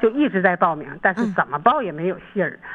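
A woman talks at a fairly quick pace with very wide pitch swings. Noticeable background noise can be heard. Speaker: returning singer on a call-in show. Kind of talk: casual chat.

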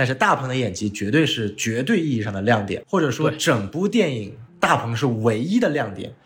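A medium-pitched man speaks with lively intonation and a somewhat breathy sound. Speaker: film industry worker and podcast host. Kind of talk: casual chat.

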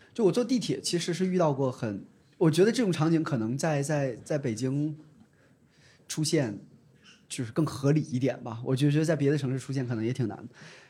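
A man with a fairly high pitch talks at a fairly quick pace, his dark, mellow tone somewhat breathy. His intonation is lively, broken by long, frequent pauses. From Dandong, Liaoning, northeast China. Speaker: ride-hailing company employee. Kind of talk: casual chat.

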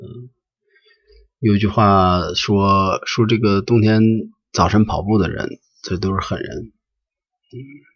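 Slow, very slow male speech at a fairly low pitch, fairly even in intonation, with big swings in loudness and long, frequent pauses. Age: 40s. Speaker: podcast host. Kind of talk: solo podcast monologue. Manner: halting, with frequent filler sounds.

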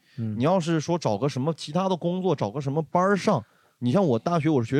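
Pitched fairly high, a man speaks very fast in an animated tone, his pitch swinging very widely. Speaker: stand-up comedian. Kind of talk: casual chat.

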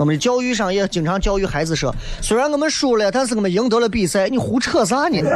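Over noticeable background noise, a man with a high pitch speaks at a very fast pace, his tone animated, his intonation lively and his loudness very even. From Xi'an, Shaanxi. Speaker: radio talk show host. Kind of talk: live call-in radio talk show. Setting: radio studio.

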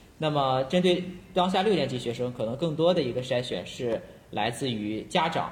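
Somewhat breathy and lively in intonation, a man speaks at a medium pitch and moderate pace with audible room echo. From China, Shandong. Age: young. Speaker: school psychology teacher. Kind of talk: casual chat.

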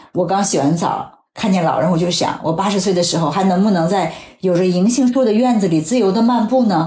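Audible echo surrounds a woman as she talks. She speaks fairly quickly with lively intonation. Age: 40s. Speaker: health magazine journalist. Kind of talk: casual chat. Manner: reflective.

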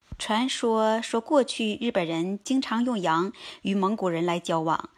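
Speaking at a fairly slow pace with lively intonation, a woman is heard on a very clean recording with a silent background. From China. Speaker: vlogger. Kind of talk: casual travel-food vlog talk. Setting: outdoors under cherry tree.

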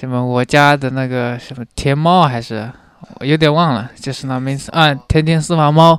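A man talks at a moderate pace in a fairly high pitch, with fairly even intonation. His loudness swings widely. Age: 20s. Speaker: young office worker. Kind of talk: casual chat. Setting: in person with host in Shanghai. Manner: calm, even-toned.

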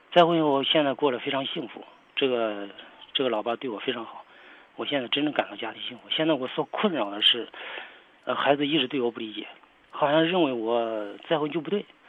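Over noticeable background noise, a man talks fairly quickly at a fairly high pitch with ordinary pitch variation. His loudness swings widely. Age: 60s. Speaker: caller, retired factory worker and former soldier. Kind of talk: phone-in advice call. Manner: halting.

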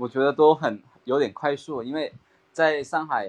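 The background stays quiet. A man talks with a slight Cantonese accent. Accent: slight Cantonese-tinged Mandarin. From Guangdong, Maoming. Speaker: real estate rental worker, trainee. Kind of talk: casual chat practice. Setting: online voice call.

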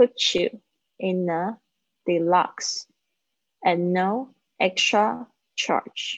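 The sound is dry and close, with no echo. A woman talks at a very slow pace. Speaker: English teacher. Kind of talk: live online English lesson. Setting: live video stream.

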